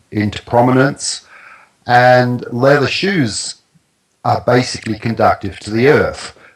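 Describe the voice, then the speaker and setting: A man talks with a New Zealand accent. His pace is fairly slow. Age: 60s. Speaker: naturopath and grounding product expert. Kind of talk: interview. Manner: halting.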